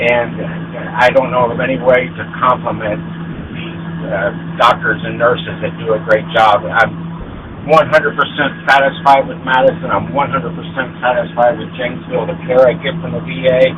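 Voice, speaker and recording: Amid noticeable background noise, a man at a medium pitch talks at a moderate pace with very wide pitch swings and big swings in loudness. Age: 60s. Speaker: military veteran, caller. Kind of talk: phone-in call. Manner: halting, many fillers.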